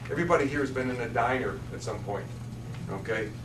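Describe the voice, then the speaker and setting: This man talks at a fairly quick pace, with audible room echo and noticeable background noise around him. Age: 60s. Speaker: state elder services official. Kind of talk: public meeting presentation. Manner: halting, with frequent repetitions.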